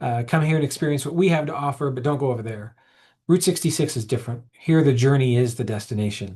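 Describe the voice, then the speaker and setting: A man with an American accent talks at a very fast pace over a quiet background. His medium-pitched voice is somewhat breathy, with ordinary pitch variation. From Oklahoma. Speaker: historic preservation manager. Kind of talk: webinar presentation. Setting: webinar.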